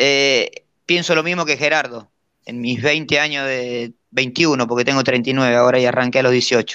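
In a Rioplatense accent, a man with a bright, sharp tone and medium pitch speaks at a fairly slow pace with fairly even intonation. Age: 30s. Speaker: jockey. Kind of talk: casual interview.

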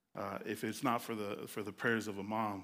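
A moderate pace with an American accent, in a very clean recording against a silent background. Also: man. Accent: Los Angeles urban speech, noticeable. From Los Angeles, California (Carson, Compton, Long Beach). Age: 40s. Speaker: nonprofit youth outreach director. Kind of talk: testimony. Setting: stage with audience. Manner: animated.

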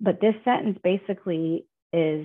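A woman with a normal speaking voice talks at a fairly low pitch with ordinary pitch variation. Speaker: recovery group member. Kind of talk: casual group discussion. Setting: video call.

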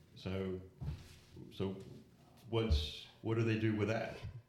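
A man's fairly low voice at a moderate pace, with fairly even intonation, noticeable background noise and audible room echo. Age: 40s. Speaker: church youth leader. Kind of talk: casual group discussion. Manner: hesitant, many fillers.

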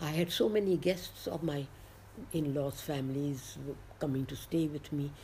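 At a moderate pace, a woman with a very deep, low pitch speaks in a dark, mellow, somewhat breathy tone with ordinary pitch variation. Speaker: entrepreneur. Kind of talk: interview storytelling. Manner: animated, laughing.

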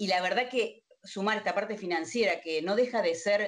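A woman speaks at a medium pitch with ordinary pitch variation, in an ordinary speaking voice. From Argentina, Río Gallegos, Santa Cruz (Patagonia). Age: 50s. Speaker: contact center executive. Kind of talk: interview.

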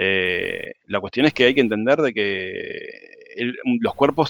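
A man speaks at a medium pitch with ordinary pitch variation, and the sound is dry and close with no echo. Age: 40s. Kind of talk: casual chat.

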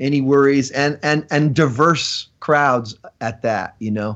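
A fairly slow pace over a quiet background. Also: man. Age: 40s. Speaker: rock singer. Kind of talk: casual interview.

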